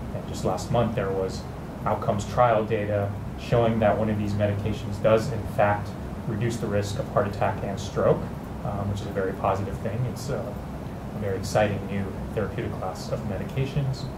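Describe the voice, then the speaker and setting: There is loud background noise throughout. Over it, a man speaks at a fairly quick pace. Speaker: panelist. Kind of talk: interview answer. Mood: calm, engaged. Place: studio. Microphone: lapel.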